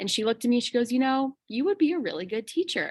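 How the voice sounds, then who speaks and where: The speaker has a slight Chicago accent. The recording is very clean, with a silent background. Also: woman. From Chicago suburbs, Illinois. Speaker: kindergarten teacher. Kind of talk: interview.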